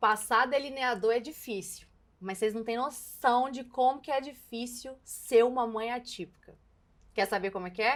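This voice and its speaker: Speaking at a moderate pace, a woman uses a high pitch in a Minas Gerais accent. The recording is very clean, with a silent background. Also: ordinary pitch variation. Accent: Mineiro Brazilian Portuguese. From Minas Gerais, Brazil. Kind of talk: casual talk to camera while doing makeup. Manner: outspoken, a bit exaggerated.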